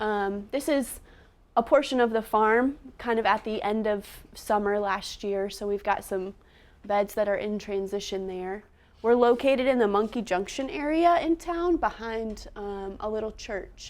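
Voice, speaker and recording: Soft-spoken and fairly slow, the delivery carries ordinary pitch variation. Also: woman. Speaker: nonprofit farm educator. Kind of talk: presentation. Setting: seminar room with live audience.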